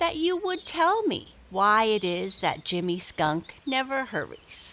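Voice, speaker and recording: Put-on character voice from a woman, high-pitched, at a fairly slow pace with very wide pitch swings. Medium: read story.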